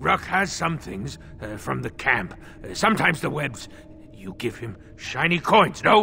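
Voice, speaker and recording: Over clear background noise, a put-on character voice moves at a moderate pace with very wide pitch swings. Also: man, medium pitch for a man. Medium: video game. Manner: stammering, refers to himself in third person; nervous, broken.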